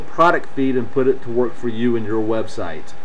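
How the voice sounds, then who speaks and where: A man talks at a fairly quick pace with an American accent. Noticeable background noise runs under his voice. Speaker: software tutorial presenter. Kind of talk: screen-recorded tutorial. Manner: casual, with many fillers.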